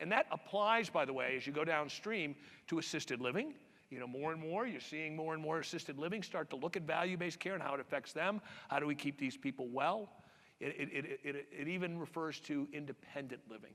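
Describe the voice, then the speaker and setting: A man with an American accent speaks at a fairly quick pace in a bright, sharp tone. His pitch sits fairly high, with ordinary variation. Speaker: healthcare industry speaker. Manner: repeats words, halting.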